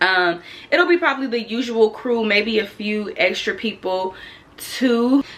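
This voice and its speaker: The speaker uses lively intonation at a fairly slow pace. Noticeable background noise is present. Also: woman, fairly high pitch for a woman. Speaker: lifestyle vlogger. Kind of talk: casual vlog talk to camera. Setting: at home.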